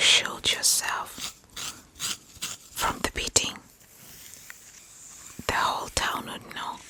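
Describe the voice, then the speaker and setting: Whispering at a fairly slow pace with long, frequent pauses, a woman shifts widely in loudness over noticeable background noise. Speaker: ASMR creator. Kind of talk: storytelling about childhood memories. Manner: soft, whispered.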